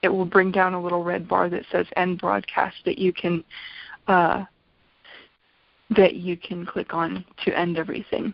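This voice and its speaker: An unremarkable speaking voice from a woman, medium in pitch, fairly slow, with fairly even intonation. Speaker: essential oils business trainer. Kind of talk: online business training talk.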